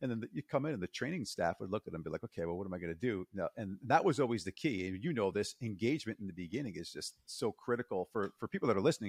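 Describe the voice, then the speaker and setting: Over a quiet background, a man with a fairly low pitch talks at a very fast pace in an enthusiastic tone, the sound dry and close with no echo. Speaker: podcast host. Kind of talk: casual interview.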